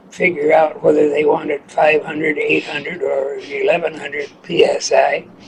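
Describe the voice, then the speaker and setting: Noticeable noise runs in the background. A man talks at a fairly slow speed over it. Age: 80s+. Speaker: steam engineer. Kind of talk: interview answer. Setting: kitchen.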